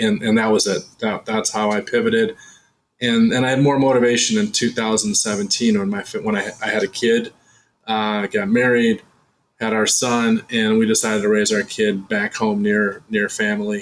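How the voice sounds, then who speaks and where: The speaker keeps a moderate pace and a monotone, flat intonation. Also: man, medium pitch for a man. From Chicago, US Midwest. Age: 50s. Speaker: real estate investor. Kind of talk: interview. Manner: halting, many repeated words.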